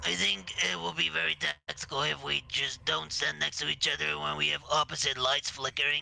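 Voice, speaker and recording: In a put-on character voice, a man talks at a fairly quick pace with a very deep, low pitch, very wide pitch swings and very even loudness. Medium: actual play. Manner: measured, hesitant.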